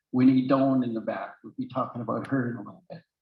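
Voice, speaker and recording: A somewhat breathy voice at a fairly quick pace. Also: man. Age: 70s. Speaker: real estate academy founder and speaker. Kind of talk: seminar presentation. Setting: live event with audience, also on Zoom.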